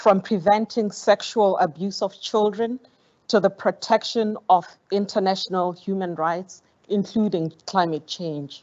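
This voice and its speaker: With a Botswana accent, a woman speaks at a fairly slow pace and medium pitch with fairly even intonation. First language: Setswana. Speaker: foundation program director. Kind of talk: formal speech. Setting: conference auditorium. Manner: formal.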